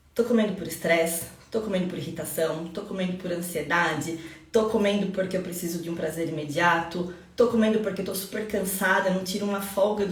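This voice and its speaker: Through noticeable background noise and audible room echo, a woman speaks fairly quickly at a medium pitch. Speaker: nutritionist. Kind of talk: live stream talk. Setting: live stream. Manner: fast; animated.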